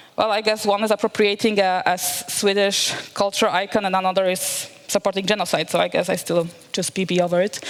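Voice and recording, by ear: Delivered at a fairly quick pace with few pauses, the speech has little pitch movement. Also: woman, medium pitch for a woman.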